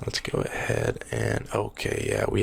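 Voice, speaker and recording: Soft-spoken speech comes at a fairly slow pace over noticeable background noise. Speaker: ASMR gaming creator. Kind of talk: soft-spoken ASMR gameplay commentary. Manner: repeats phrases, occasional fake stutter.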